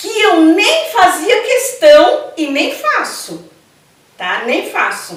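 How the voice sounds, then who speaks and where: A very slow pace with very wide pitch swings. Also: woman, extremely high pitch for a woman. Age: 60s. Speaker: Afro-Brazilian religious priestess. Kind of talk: interview. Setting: at her temple.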